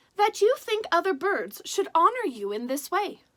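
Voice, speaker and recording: A woman performs a put-on character voice. Her pitch sits extremely high and swings very widely. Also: moderate pace. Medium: read story. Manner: calm, modest, understated.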